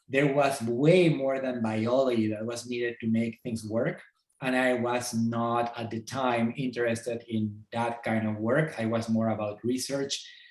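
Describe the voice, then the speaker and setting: A man speaks in a medium pitch at a moderate pace with fairly even intonation. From Peru, Lima. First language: Spanish. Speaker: entomology professor. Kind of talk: podcast interview. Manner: halting.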